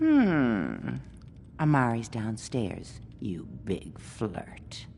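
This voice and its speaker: A put-on character voice talks at a very slow pace over clear background noise. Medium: video game. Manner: teasing, coquettish.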